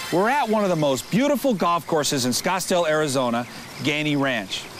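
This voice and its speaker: Very wide pitch swings in a man's voice, with music in the background. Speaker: infomercial host. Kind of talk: TV infomercial hosting.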